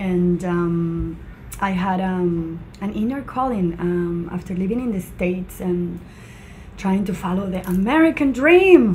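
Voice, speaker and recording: With a Spanish accent, a woman at medium pitch speaks at a fairly slow pace with ordinary pitch variation, amid audible room echo and noticeable background noise. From Venezuela, Mérida (Andes). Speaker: charity founder. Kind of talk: interview.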